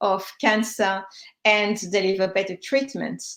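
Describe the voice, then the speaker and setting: In a French accent, a woman speaks at a fairly slow pace. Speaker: cancer survivor and health tech founder. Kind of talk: panel discussion. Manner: halting, many fillers.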